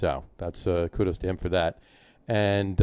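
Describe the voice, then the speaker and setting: This is a normal speaking voice from a man with a fairly low pitch. He keeps a moderate pace and fairly even intonation against a quiet background. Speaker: sports podcast host. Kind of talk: casual sports banter.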